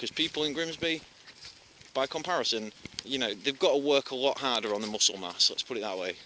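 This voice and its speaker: Very fast, lively-intoned man's voice at a medium pitch, in a Yorkshire accent. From Yorkshire, northern England. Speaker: vlogger. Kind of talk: casual vlog monologue while walking.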